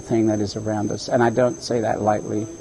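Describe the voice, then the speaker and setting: A man in a monotone, flat intonation against noticeable background noise. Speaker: environmental educator and tour guide. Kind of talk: interview answer.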